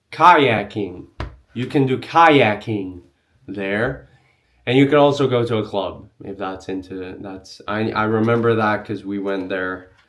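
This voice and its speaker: At a fairly slow pace, a man with a fairly low voice and a non-native accent speaks with big swings in loudness. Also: ordinary pitch variation. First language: not English. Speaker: travel vlogger. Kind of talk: tutorial. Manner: casual, filler-heavy.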